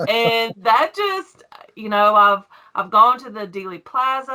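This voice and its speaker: This woman has a Southern US accent and a bright, sharp tone. She talks at a moderate pace with ordinary pitch variation. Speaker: YouTube coin collector. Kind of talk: casual interview. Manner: emotional, cries easily.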